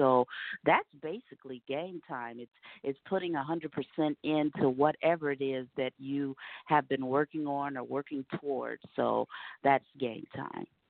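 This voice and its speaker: This woman's pitch is very deep and low. She talks at a fairly slow pace with fairly even intonation. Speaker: singer. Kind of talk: interview. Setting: phone call.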